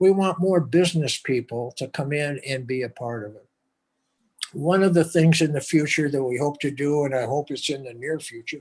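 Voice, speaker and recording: Somewhat breathy and fairly high-pitched, a man talks at a moderate pace with ordinary pitch variation and big swings in loudness. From US, Lebanese-American family. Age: 80s+. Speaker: entrepreneur and philanthropist. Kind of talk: interview. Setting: video call.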